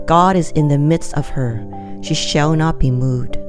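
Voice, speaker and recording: Over music in the background, a woman with a very deep, low pitch talks at a fairly slow pace with lively intonation. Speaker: Bible reader, devotional narrator. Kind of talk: Bible reading of a psalm, devotional.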